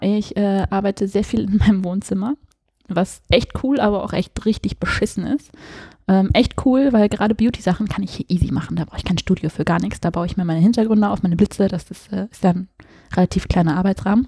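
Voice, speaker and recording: A woman's somewhat breathy, dark, mellow voice at a fairly quick pace. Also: medium pitch for a woman, ordinary pitch variation. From Hesse, near Frankfurt. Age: 20s. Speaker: fashion and portrait photographer. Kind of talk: casual chat. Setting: home living room.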